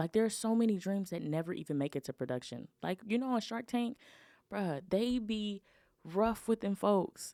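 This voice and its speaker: With an American accent, a woman at medium pitch talks at a moderate pace in an animated tone with lively intonation, in a dry, close sound with no echo. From Houston, Texas. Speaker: podcast host. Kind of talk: casual solo podcast monologue. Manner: loud. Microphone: Shure SM7B studio mic.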